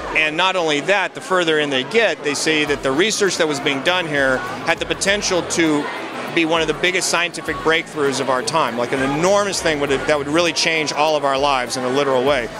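Noticeable background noise surrounds a man talking at a fairly quick pace with ordinary pitch variation, the sound dry with no echo. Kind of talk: interview answer. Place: hall. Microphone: handheld.

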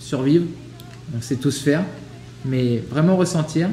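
Fairly slow in pace, a man talks in a fairly high pitch with fairly even intonation. Light background noise and audible room echo surround him. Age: 30s. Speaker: podcast co-host. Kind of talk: casual chat. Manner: halting. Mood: relaxed, reflective. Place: home room.

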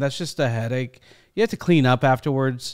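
A man's voice shows ordinary pitch variation, with a quiet background behind it. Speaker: reaction video host. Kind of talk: casual vlog chat. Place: home room. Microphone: studio mic.

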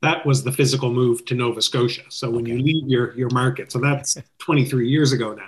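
Somewhat breathy, a man speaks with a Canadian accent. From Canada, Ontario (Toronto area). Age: 50s. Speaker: wedding DJ business owner. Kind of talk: interview podcast chat. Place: home room. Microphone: webcam.

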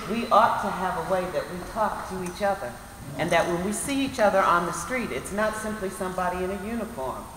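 The speech runs at a fairly quick pace, with audible room echo and light background noise. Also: woman. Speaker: local council member addressing a community meeting. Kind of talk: public address to a meeting. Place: hall. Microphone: camera far.

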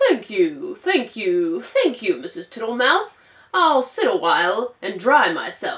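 This is a put-on character voice. It moves at a fairly slow pace with very wide pitch swings. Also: woman, high pitch for a woman. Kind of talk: children's storytime read-aloud. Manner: slow, cheerful, cheeky, repetitive.

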